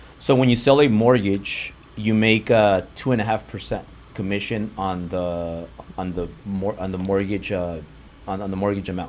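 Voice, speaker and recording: Speaking with a Spanish accent, a man uses a fairly low pitch, a moderate pace and fairly even intonation. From US, Mexican-American family. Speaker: real estate and mortgage entrepreneur. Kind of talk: interview conversation.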